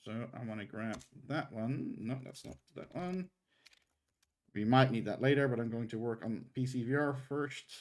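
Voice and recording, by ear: A man's medium-pitched, slightly mellow voice moves at a moderate pace with ordinary pitch variation.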